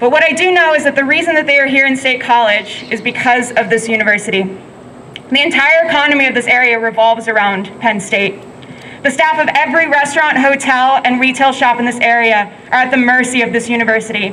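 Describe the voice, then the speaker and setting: Loud and very fast, a woman with a high pitch and ordinary pitch variation talks over noticeable background noise. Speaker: protest speaker, frontline worker. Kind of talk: protest speech.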